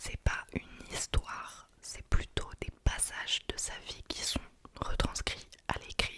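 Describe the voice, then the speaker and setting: Noticeable background noise runs through the clip. Under it, a female voice whispers at a very slow pace. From France. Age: 20s. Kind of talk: ASMR book review talk.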